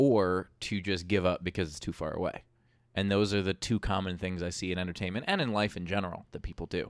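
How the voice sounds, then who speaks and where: Against a silent background on a very clean recording, a man with an American accent and a very deep, low pitch talks very fast with fairly even intonation. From New York (Queens). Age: 30s. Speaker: comedian and TV host. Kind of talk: casual chat.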